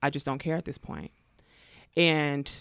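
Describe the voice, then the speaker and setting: With an American accent, a woman speaks in a very deep, low pitch with fairly even intonation on a very clean recording with a silent background. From US West Coast, East Bay Area, California. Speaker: therapist. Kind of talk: casual chat.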